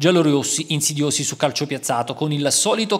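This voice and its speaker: Here a man is speaking. His pace is very fast. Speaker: football match commentator. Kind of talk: sports highlights voice-over, recapping the match in scripted commentary. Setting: voice-over on match video. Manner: brisk, fluent, upbeat play-by-play pace; formal, matter-of-fact, reporter-like tone.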